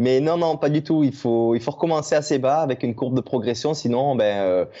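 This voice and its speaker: Over a quiet background, a man with a medium pitch and a dark, mellow tone talks at a moderate pace with ordinary pitch variation. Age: 30s. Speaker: trail runner. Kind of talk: podcast interview. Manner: hesitant, many fillers.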